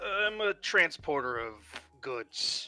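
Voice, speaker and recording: A put-on character voice at a middle pitch, with music playing in the background. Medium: actual play.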